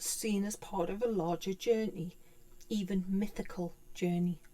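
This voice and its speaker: With a British accent, a woman talks at a fairly slow pace and a medium pitch. Her tone is dark and mellow. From UK. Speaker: tarot teacher. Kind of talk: tutorial. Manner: halting.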